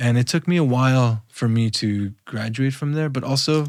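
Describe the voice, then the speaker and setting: A man speaks with a Spanish accent. His intonation is fairly even. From Los Angeles, US (Mexican immigrant parents). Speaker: visual artist. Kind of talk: casual interview conversation. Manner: casual, halting with fillers.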